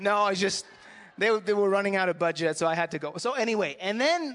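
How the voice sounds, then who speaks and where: A man with a French-Canadian accent speaks at a moderate pace with ordinary pitch variation. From Montreal, Canada. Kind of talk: casual chat.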